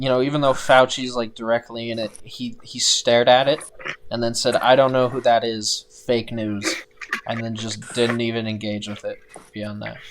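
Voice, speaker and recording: Flat, monotone delivery against noticeable background noise. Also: man, medium pitch for a man, moderate pace, big swings in loudness. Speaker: podcast co-host. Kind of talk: casual chat. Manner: quiet.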